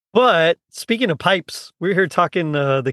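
A man with an American accent speaks in an ordinary speaking voice, pitched fairly high. His intonation is lively and his pace moderate. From South Texas (Rio Grande Valley). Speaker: podcast host. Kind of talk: casual chat.

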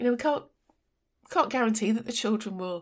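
A woman speaks with an English accent. Her pitch is fairly high, with ordinary variation. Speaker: podcast host, design and technology educator. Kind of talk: solo educational podcast monologue.

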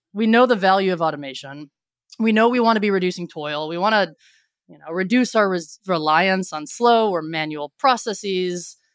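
On a very clean recording with a silent background, a woman speaks with an American accent and ordinary pitch variation. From Cleveland, Ohio, US Midwest. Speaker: engineering executive. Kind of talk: podcast interview.

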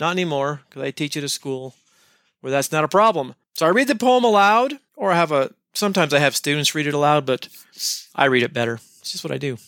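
A man with a fairly high pitch talks at a very fast pace with lively intonation. The recording is very clean with a silent background and a dry, close sound with no echo. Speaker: podcast host, English teacher. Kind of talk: tutorial. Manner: casual, jokey.

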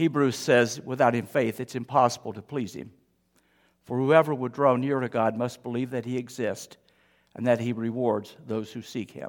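A man with a plain, everyday voice speaks at medium pitch and a moderate pace, with big swings in loudness. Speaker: pastor. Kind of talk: sermon. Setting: church.

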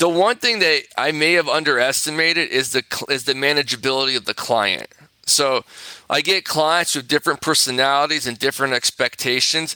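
With a Californian accent, a man talks at a fairly quick pace in a bright, sharp tone at fairly high pitch, with ordinary pitch variation and a dry, close sound with no echo. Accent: Californian American English. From Southern California. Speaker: personal injury attorney. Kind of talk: interview. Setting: remote interview from office.

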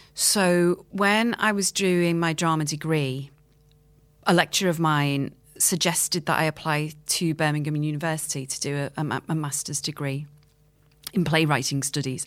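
Speaking with a Liverpool accent at a moderate pace, a woman has a very deep, low pitch on a very clean recording with a silent background. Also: ordinary pitch variation. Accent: Liverpool (Scouse). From Liverpool, England. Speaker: playwright and screenwriter. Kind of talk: interview.

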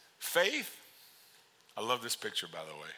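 A man speaks at a moderate pace with vocal fry and a bright, sharp, animated tone. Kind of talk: sermon to a congregation, with a call-and-response to the audience. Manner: animated, conversational, repeats words for emphasis, with laughs and punchy commands; warm and urgent, moves from pleading to playful to firm.

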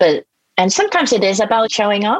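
A woman with a Japanese accent, recorded dry and close with no echo. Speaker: executive coach. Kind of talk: interview.

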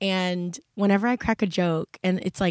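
A normal speaking voice with fairly even intonation, dry, close sound with no echo, and a very clean recording with a silent background. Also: woman. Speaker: podcast host. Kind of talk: casual solo podcast chat. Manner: casual, self-deprecating.

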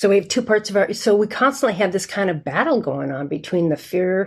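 A woman with a plain, everyday voice talks fairly quickly at medium pitch on a very clean recording with a silent background. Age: 60s. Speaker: sales mental fitness coach. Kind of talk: interview.

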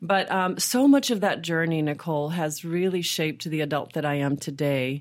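A woman with an American accent and an unremarkable speaking voice talks at a moderate pace with ordinary pitch variation and hardly any pauses, on a very clean recording with a silent background. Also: fairly low pitch for a woman. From Texas, Austin. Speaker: business owner. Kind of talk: interview.

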